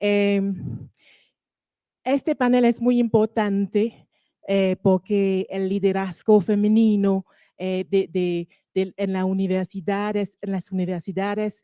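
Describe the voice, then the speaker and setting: A woman speaks very slowly with a French accent, her medium-pitched voice dark and mellow. Her intonation stays fairly even, and the sound is dry and close with no echo. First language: French (speaking Spanish). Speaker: panel moderator. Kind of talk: panel moderation. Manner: halting, many fillers.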